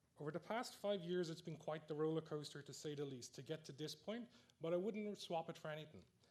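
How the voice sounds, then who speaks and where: In an Irish accent, a man talks at a fairly quick pace, his pitch fairly high with ordinary variation. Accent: Irish, noticeable. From Ireland, Dublin. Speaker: neuroscience researcher, award recipient. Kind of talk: award acceptance speech. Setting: stage with audience in amphitheatre.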